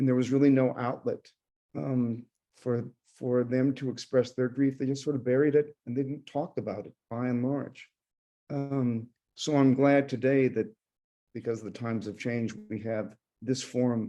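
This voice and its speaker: A man's dark, mellow voice holds fairly even intonation and leaves long, frequent pauses. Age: 60s. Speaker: speaker at a grief support program. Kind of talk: personal testimony. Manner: halting, many fillers.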